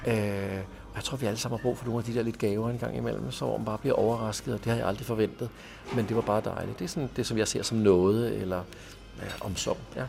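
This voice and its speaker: Noticeable background noise accompanies a man talking very fast with ordinary pitch variation. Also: fairly low pitch for a man. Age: 50s. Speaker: pastor and manager of a drop-in centre. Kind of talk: interview. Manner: halting, with frequent repeated words.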